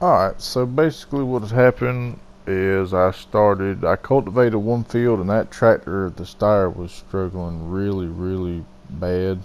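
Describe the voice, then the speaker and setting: Speaking with a Southern US accent, a man uses a fairly low pitch. He keeps a moderate pace with ordinary pitch variation. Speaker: gaming video host. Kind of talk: gameplay commentary voiceover. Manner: loud.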